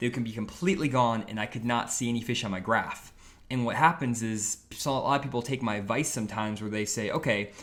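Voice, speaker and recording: A man's medium-pitched voice, bright and sharp in tone, at a fairly quick pace. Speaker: fishing youtuber. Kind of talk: live stream tutorial. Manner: fast.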